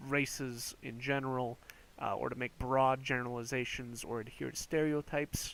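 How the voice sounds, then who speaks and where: A man talks at medium pitch with an American accent and monotone, flat intonation. The recording is very clean, with a silent background. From United States. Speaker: youtuber. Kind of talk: casual commentary. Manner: hesitant, many fillers and restarts.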